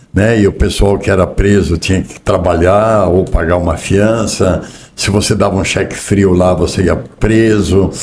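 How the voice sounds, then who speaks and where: A man speaks in a very deep, low voice with a monotone, flat delivery. Noticeable background noise runs under the recording. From southern Brazil, Rio Grande do Sul. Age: 60s. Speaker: business executive. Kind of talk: interview.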